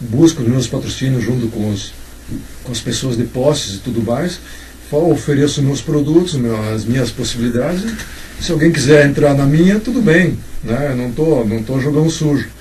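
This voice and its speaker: Medium tempo and normal pitch movement from a man, with audible room echo and clear background noise. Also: medium pitch for a man. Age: 60s. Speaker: writer. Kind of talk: casual chat. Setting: informal chat over drinks and cigarettes.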